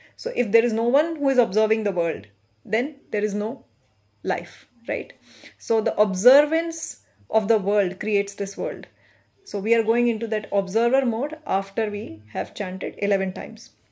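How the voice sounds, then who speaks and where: Over a quiet background, a woman with a dark, mellow tone speaks at a moderate pace with ordinary pitch variation. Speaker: meditation guide. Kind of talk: guided meditation. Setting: recorded video for online viewers. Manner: gentle, instructive. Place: home room. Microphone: phone near.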